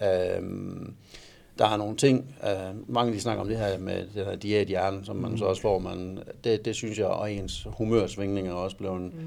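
This man's voice sits fairly low, and his intonation stays fairly even. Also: moderate pace. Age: 40s. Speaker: amateur bodybuilder. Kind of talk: casual interview. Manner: halting.

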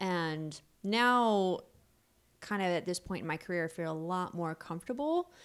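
A woman with an unremarkable speaking voice and an American accent, medium in pitch with ordinary pitch variation, at a moderate pace on a very clean recording with a silent background. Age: 30s. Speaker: pelvic floor physical therapist. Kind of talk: casual interview.

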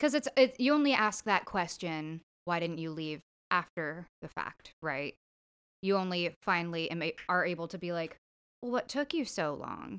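A woman's plain, everyday voice, with a fairly low pitch, lively intonation and moderate pace, on a very clean recording with a silent background and a dry, close sound with no echo. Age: 20s. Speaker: guest co-host. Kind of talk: casual chat; public service announcement.

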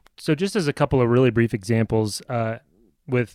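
With a Midwestern American accent, a man speaks at a moderate pace and medium pitch with ordinary pitch variation, in a dry, close sound with no echo on a very clean recording with a silent background. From US Midwest (Nebraska). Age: middle-aged. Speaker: podcast co-host, father. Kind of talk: casual chat.

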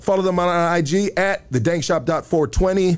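This is a man's voice. His tone is animated. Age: 40s. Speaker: podcast host. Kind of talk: casual chat. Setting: podcast studio, live stream. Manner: animated, profane slang-heavy.

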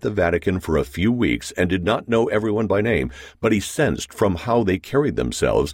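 With ordinary pitch variation, the clip is reading aloud in a natural voice.

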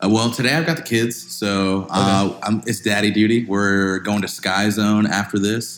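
With an American accent, a man talks at a moderate pace with hardly any pauses, his fairly low voice showing ordinary pitch variation over noticeable background noise. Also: very even loudness. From Florida (Kissimmee). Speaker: music producer, foundation founder. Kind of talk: casual chat.

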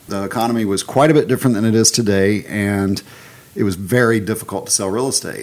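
Over noticeable background noise, a man with a Southern US accent talks at a fairly quick pace, medium in pitch with ordinary pitch variation. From Alabama, US South. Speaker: real estate broker and owner. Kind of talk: casual interview chat.

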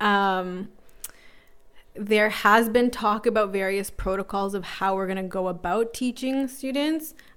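This woman has a normal speaking voice with a Canadian accent, a medium pitch, ordinary pitch variation and a fairly slow pace. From Toronto (North York), Canada. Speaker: teacher. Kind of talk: casual chat. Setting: home basement. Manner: laughs often.

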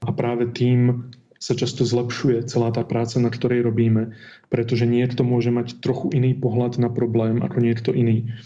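Amid audible room echo, a man speaks at a moderate pace and medium pitch, his dark, mellow tone flat and monotone in intonation and very even in loudness. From Slovakia, Martin. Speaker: experimental physicist. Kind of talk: interview.

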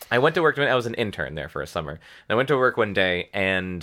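Here is a man with a normal speaking voice. His pitch is fairly low and his intonation is lively. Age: 30s. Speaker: cartoonist. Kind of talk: casual chat, storytelling.

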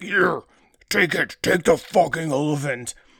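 A man's raspy, put-on character voice, high in pitch, at a moderate pace. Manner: menacing, grim.

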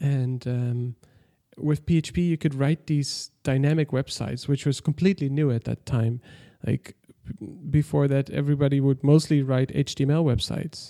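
A man with a Dutch accent speaks at a fairly high pitch and moderate pace, dark and mellow in tone with fairly even intonation, in a dry, close sound with no echo. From Netherlands, village near German border. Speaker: software developer, company founder. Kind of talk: interview conversation. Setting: remote call, early morning.

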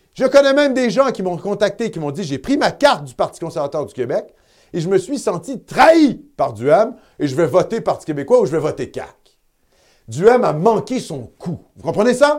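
On a very clean recording with a silent background, a man with high pitch speaks at a moderate pace, his voice showing very wide pitch swings and big swings in loudness. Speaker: web TV host. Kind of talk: live election-night commentary.

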